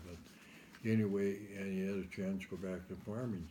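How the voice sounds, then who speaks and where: A man's dark, mellow voice at fairly low pitch, with an American accent, fairly even intonation, a moderate pace and audible room echo. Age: 70s. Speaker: interviewee recounting life story. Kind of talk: oral history interview.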